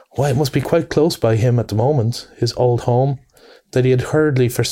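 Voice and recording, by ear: Here a person reads aloud in a natural voice.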